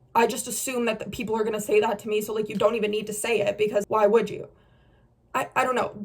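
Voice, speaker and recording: With noticeable background noise, a woman talks at a very fast pace in a fairly high voice. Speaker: beauty influencer. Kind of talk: casual chat. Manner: loud; animated.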